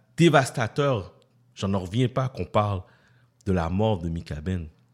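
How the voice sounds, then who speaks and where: Fairly slow and full of long, frequent pauses, a man's fairly low-pitched speech has lively intonation on a very clean recording with a silent background. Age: 40s. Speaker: radio host. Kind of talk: casual radio talk.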